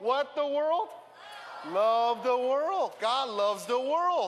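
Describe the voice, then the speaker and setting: The man's voice sits at an extremely high pitch, with ordinary pitch variation. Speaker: preacher. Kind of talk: fervent prayer. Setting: stage with audience. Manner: earnest, passionate.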